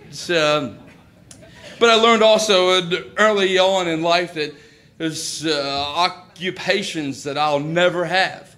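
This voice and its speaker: A man with a Midwestern US accent, high-pitched for a man, talking at a fairly slow pace amid noticeable background noise and audible room echo. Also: ordinary pitch variation. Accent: rural Midwestern American. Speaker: comedian and farmer. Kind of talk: stand-up. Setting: stage with audience.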